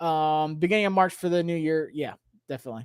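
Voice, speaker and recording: On a very clean recording with a silent background, a man speaks loudly. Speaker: sports YouTuber, fan channel host. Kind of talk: livestream chat with viewers. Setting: home livestream. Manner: animated, passionate.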